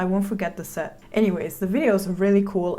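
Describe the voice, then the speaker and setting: A woman speaks at a medium pitch with a non-native accent. Her tone is dark and mellow. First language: not English. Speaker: filmmaker reacting to music videos. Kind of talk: video reaction commentary. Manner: casual, filler-heavy.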